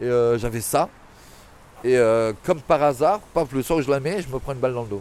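The man speaks at a medium pitch with ordinary pitch variation. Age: 40s. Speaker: former sex worker. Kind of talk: interview. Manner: animated; halting.

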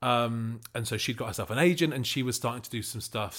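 Here a man with a Manchester accent speaks at a very fast pace in a medium pitch. The recording is very clean, with a silent background. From Manchester, northern England. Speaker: podcast creator and writer-director. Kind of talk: interview.

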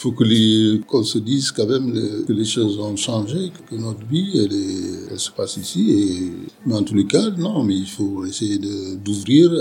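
Against noticeable background noise, a man with a fairly low pitch and ordinary pitch variation speaks at a fairly slow pace. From Senegal. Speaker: sociologist. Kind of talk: interview. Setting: bar. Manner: halting, many repetitions.

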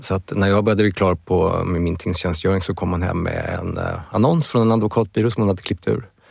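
Speaking in a plain, everyday voice, a man with a fairly low pitch moves at a fairly quick pace with ordinary pitch variation. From Sweden, Stockholm. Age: 50s. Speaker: law firm CEO and lawyer. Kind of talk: interview conversation.

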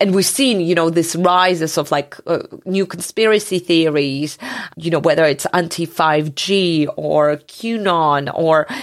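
A woman's fairly low voice with a Georgian accent, fairly slow, ordinary in pitch variation and very even in loudness. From Georgia (country). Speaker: journalist. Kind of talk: interview.

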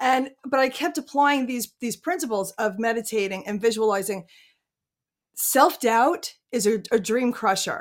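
On a very clean recording with a silent background, a woman with an unremarkable speaking voice talks at a fairly slow pace, with a fairly high pitch and ordinary pitch variation. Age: 50s. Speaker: entrepreneur and life coach. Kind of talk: interview.

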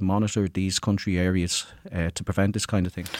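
A man's very fast, monotone delivery with an Irish accent, fairly low in pitch, in a dry, close recording with no echo. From rural Ireland. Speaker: college student. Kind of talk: student podcast discussion. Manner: hesitant, frequent uh.

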